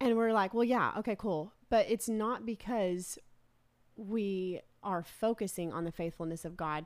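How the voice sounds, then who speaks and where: A woman speaks in an unremarkable speaking voice at a fairly slow pace. The recording is very clean, with a silent background. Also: medium pitch for a woman, ordinary pitch variation. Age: 30s. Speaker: children's pastor and publisher. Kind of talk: casual chat.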